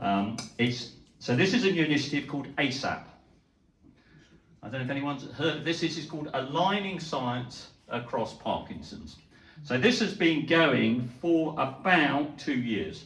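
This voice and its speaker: Lively intonation from a man with a British accent and a fairly high pitch, at a moderate pace, with audible room echo. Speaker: neurologist. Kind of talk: lecture. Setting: talk to a live audience. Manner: hesitant, with fillers.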